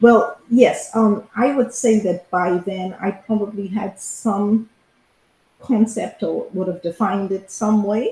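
The voice has a dark, mellow tone and is somewhat breathy. It moves at a very slow pace with fairly even intonation. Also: woman, fairly high pitch for a woman. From Bahamas. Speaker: former diplomat. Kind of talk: interview.

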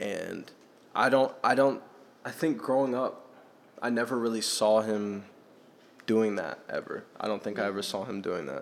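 A man's medium-pitched voice at a moderate pace, with ordinary pitch variation and long, frequent pauses. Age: young. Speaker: podcast host. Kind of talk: casual chat.

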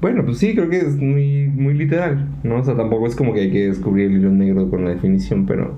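A man with a Mexican accent, medium pitch, very wide pitch swings and very even loudness, at a fairly quick pace with hardly any pauses, amid audible room echo and noticeable background noise. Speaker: podcast co-host. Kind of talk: casual chat; outro.

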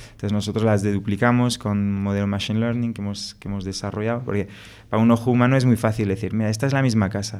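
A man with a French accent speaks very fast at a fairly low pitch in a monotone, flat intonation. The recording is very clean with a silent background. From France. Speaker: startup co-founder. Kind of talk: interview conversation.

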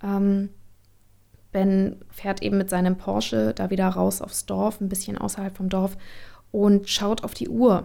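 Her tone dark and mellow, a woman speaks at a very slow pace with medium pitch and ordinary pitch variation. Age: 20s. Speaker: actress. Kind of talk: casual chat. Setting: video call.

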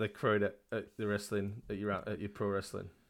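Fairly quick speech from a man in a British accent, very cleanly recorded over total background silence. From UK. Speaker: podcast co-host. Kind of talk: casual chat.

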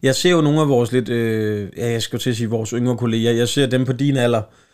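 The recording is very clean, with a silent background. A man talks fairly quickly at a medium pitch, with ordinary pitch variation. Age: 30s. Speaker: comedian and podcast host. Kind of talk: casual chat.

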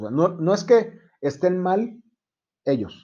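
A man's voice, high in pitch, with a dark, mellow tone. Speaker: insurance agent. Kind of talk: casual chat.

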